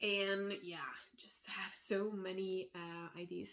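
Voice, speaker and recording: This woman's voice sits at a medium pitch, with fairly even intonation. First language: not English. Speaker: knitting designer. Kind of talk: casual vlog chat. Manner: hesitant, many fillers.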